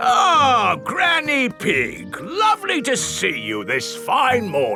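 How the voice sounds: Over clear music in the background, a cartoonish character voice speaks at a very slow pace.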